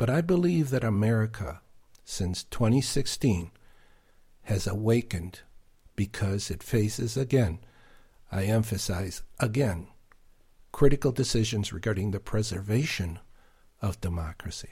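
In a very clean recording with a silent background, a man with a fairly low pitch and a dark, mellow, somewhat breathy tone talks at a moderate pace with lively intonation and long, frequent pauses. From Argentina. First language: Spanish. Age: 70s. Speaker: author and podcast creator. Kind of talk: interview.

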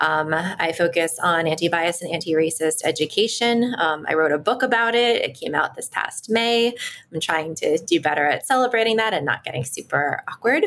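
A woman with an American accent and an unremarkable speaking voice talks at a moderate pace with hardly any pauses, her fairly low pitch moving in lively intonation. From Washington, D.C. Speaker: educator. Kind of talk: casual chat.

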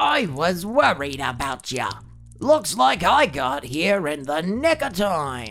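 A shrill, put-on character voice at middle pitch, fairly slow, with music in the background

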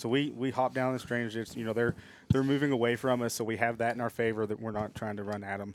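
Using a plain, everyday voice, a man speaks at a fairly quick pace with fairly even intonation. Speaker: hunter. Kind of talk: casual chat.

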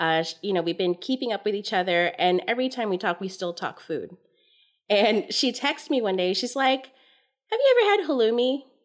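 A woman with an unremarkable speaking voice and a fairly high pitch talks. She keeps a moderate pace. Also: lively intonation. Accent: American.

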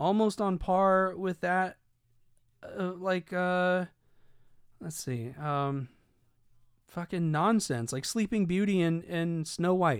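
Long, frequent pauses break up a man's very slow speech in a high voice with ordinary pitch variation. The recording is very clean, with a silent background. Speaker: podcast host. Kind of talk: casual monologue.

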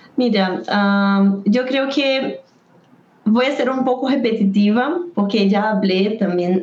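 Over noticeable background noise, a woman with a fairly high pitch speaks at a very slow pace with ordinary pitch variation. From Brazil. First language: Portuguese (speaking Spanish). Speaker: taekwondo poomsae coach. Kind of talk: interview.

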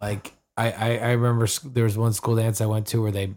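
A man talks with a fairly low pitch. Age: 30s. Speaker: podcast co-host. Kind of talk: casual chat. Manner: halting.

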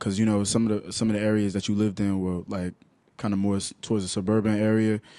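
Very fast and fairly even in intonation, a man with a New York accent speaks in a fairly low pitch with a dark, mellow tone. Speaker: podcast host. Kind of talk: casual chat.

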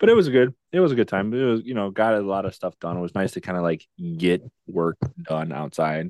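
An unremarkable speaking voice belongs to a man with a fairly low pitch and lively intonation. He talks at a fairly quick pace, with a dry, close sound and no echo. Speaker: podcast host. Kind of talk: casual chat interview.

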